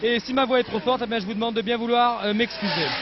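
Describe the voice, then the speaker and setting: A man shouts loudly at a high pitch. There is noticeable background noise. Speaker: motor racing commentator. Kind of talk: live commentary. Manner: loud, near shouting.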